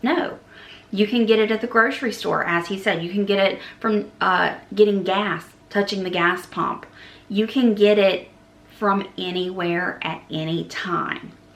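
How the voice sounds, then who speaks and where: A woman at medium pitch and fairly slow pace, amid audible room echo and noticeable background noise. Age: 40s. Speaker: travel agent and travel vlogger. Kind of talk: casual vlog monologue. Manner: conversational, some hesitations.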